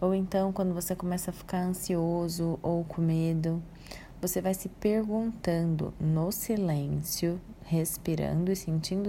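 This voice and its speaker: This woman talks at a fairly slow pace in a fairly low pitch, her tone calm, dark and mellow. Her voice is somewhat breathy. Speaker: psychologist. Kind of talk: audio talk on emotional wellbeing.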